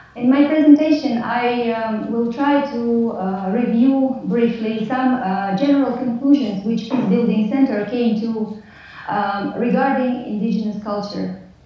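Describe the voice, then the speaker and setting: Noticeable background noise accompanies a woman's voice. She speaks at a fairly high pitch with fairly even intonation. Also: fairly slow pace. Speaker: peacebuilding practitioner. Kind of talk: lecture. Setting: video call.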